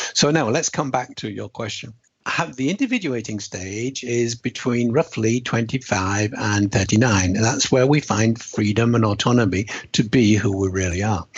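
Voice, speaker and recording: A man's somewhat breathy, medium-pitched voice with ordinary pitch variation at a moderate pace. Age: 70s. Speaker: author and speaker. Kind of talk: interview.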